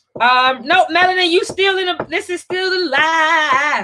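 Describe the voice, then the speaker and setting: Projecting her raised voice, a woman speaks at an extremely high pitch with ordinary variation. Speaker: financial coach and live show host. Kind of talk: casual live stream chat. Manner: hesitant, with fillers and restarts.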